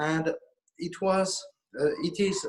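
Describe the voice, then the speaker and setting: This man talks at a very slow pace. He speaks with a French accent. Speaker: auction house director. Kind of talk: casual chat. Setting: auction house. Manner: halting.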